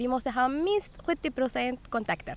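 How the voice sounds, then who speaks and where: A woman speaks at a high pitch. Her intonation is lively. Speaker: municipal communications worker. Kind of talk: casual chat. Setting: outdoors. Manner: halting.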